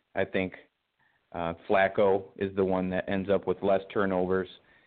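A man's very deep, low voice carries an American accent. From Michigan, US. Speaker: sports writer and podcast guest. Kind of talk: casual sports talk.

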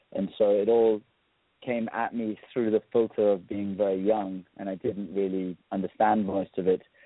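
Speaking at a moderate pace, a man with a fairly low voice keeps his intonation flat and monotone. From South Africa. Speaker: musician. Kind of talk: interview.

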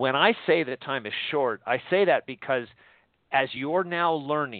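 Speaking at a moderate pace, a man has an unremarkable speaking voice, fairly high in pitch with ordinary pitch variation. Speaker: radio host. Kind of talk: live call-in radio show, talk about prophecy and dreams. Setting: phone-in radio show.

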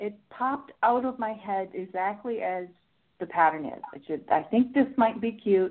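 A woman with an American accent speaks at a moderate pace. Her pitch is fairly high and her intonation lively. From Pittsburgh, US. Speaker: knitting instructor. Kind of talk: casual chat. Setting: video call.

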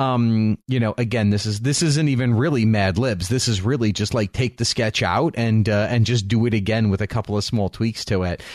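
With a normal speaking voice at medium pitch, a man talks at a fairly quick pace, barely pausing at all. His loudness stays very even, and his pitch varies in an ordinary way. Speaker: podcast co-host. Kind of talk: casual chat.

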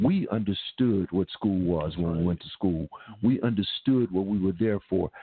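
At a moderate pace, a man speaks at a fairly low pitch with ordinary pitch variation, in a plain, everyday voice. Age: 60s. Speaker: stage actor and educator. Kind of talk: radio interview. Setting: studio.

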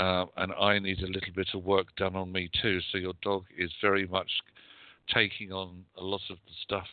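With a British accent, a man speaks at a moderate pace in a very deep, low voice. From UK. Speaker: psychic medium and magazine editor. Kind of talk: psychic readings and spiritual advice.

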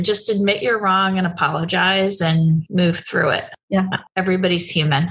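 With an American accent, a woman speaks in a normal speaking voice at medium pitch. Her pace is moderate, her intonation fairly even and her loudness very even. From New Jersey. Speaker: aerospace executive. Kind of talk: interview.

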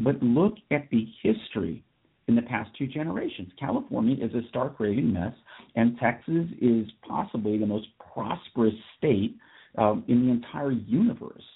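A man with an unremarkable speaking voice, medium pitch, ordinary pitch variation and a moderate pace. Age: 40s. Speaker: radio talk show host. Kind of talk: solo talk radio commentary. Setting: studio.

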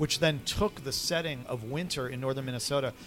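A man's plain, everyday voice at medium pitch, fairly quick in pace, with ordinary pitch variation. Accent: American. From New York. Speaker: film director. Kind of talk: interview. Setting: coffee shop.

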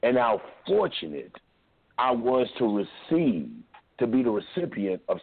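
A man's fairly slow, medium-pitched delivery with very wide pitch swings, very even loudness, and long, frequent pauses. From Kentucky. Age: 40s. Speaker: radio host. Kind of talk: call-in talk show.

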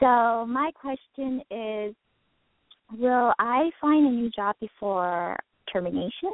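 Very slow and broken by long, frequent pauses, a woman speaks in a fairly high pitch. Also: lively intonation. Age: 30s. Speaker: radio show caller. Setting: phone.

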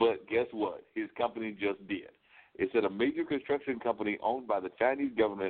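An ordinary speaking voice with an American accent and ordinary pitch variation. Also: man. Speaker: talk show host. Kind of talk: casual chat.

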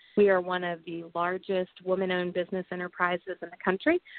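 A woman talks in an American accent, her pitch sitting in the middle of her range. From US Midwest, southwest Missouri (Ozarks, Joplin). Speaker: political candidate and business executive. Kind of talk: interview.

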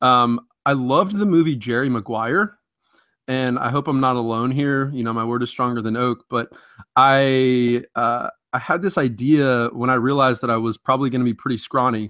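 With an American accent, a man speaks at a moderate pace and medium pitch in a bright, sharp tone, recorded with a dry, close sound and no echo. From Ohio (Columbus), early childhood in New Jersey. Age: 20s. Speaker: fantasy football analyst and social media editor. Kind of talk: casual interview.

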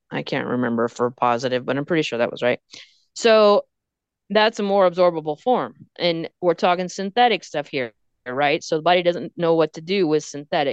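At a moderate pace, a woman with a Texan accent speaks in a fairly low voice, the sound dry and close with no echo against a quiet background. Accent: Texan (US Southern) English. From Texas. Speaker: pet nutritionist. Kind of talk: casual chat.

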